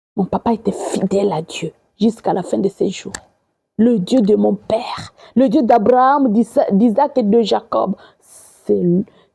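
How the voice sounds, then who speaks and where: Speaking at a very slow pace, the woman has a medium pitch, ordinary pitch variation and vocal fry. The sound is dry and close, without any echo. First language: not French (speaking French). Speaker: evangelist. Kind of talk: sermon. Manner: halting.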